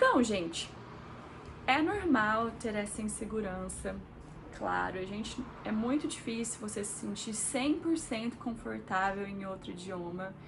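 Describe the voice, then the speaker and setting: With audible room echo and noticeable background noise, a woman speaks at a fairly slow pace in a fairly high pitch with lively intonation. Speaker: engineer and vlogger. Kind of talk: casual vlog talk to camera. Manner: chatty, conversational with fillers.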